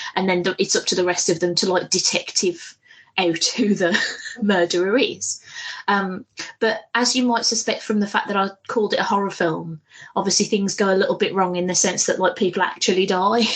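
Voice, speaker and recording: Fairly quick speech comes in a British accent, somewhat breathy. Loudness stays very even and intonation fairly even. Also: woman, medium pitch for a woman. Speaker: podcast co-host. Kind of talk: casual chat. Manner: fast; hesitant, many fillers.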